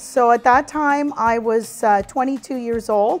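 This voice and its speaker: A woman at a fairly high pitch and a very slow pace, with music in the background. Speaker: auctioneer and company founder. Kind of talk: interview answer.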